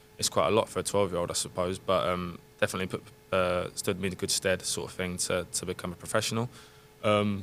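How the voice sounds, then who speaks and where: With a London accent, a man speaks at a very fast pace in a very deep, low pitch and monotone, flat intonation. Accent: southern English (London). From England, London area. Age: 30s. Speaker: professional footballer. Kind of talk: casual podcast interview. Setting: studio.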